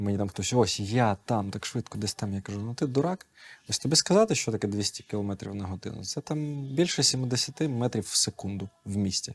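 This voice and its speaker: In a very clean recording with a silent background and a dry, close sound with no echo, a man speaks at a moderate pace and a medium pitch. His voice is somewhat breathy, and his intonation is lively. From Ukraine, raised in Kyiv. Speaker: esports coach. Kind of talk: casual chat.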